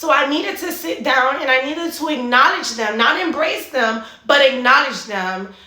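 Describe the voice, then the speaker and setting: Over noticeable background noise and audible room echo, a woman with a high pitch speaks in a raised, projected voice with hardly any pauses. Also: lively intonation, moderate pace. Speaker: fitness and mindset coach. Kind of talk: motivational monologue.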